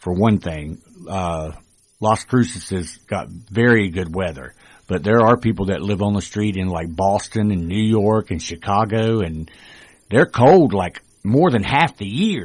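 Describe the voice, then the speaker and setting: In a North Carolina accent, a man with a fairly low pitch speaks at a fairly slow pace with ordinary pitch variation against a quiet background. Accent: Southern US (North Carolina). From rural North Carolina. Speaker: formerly homeless guest. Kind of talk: radio interview. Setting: radio studio.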